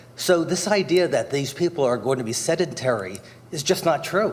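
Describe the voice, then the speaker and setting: There is noticeable background noise and audible room echo. A man speaks at a moderate pace with lively intonation. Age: 60s. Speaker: resident speaking at public comment. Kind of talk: public comment at council meeting. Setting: council chambers. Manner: formal.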